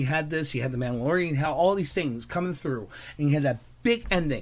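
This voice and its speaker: A man talks at a fairly quick pace in an ordinary speaking voice. His pitch is fairly high, with ordinary variation. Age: 30s. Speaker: podcast guest. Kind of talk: casual chat.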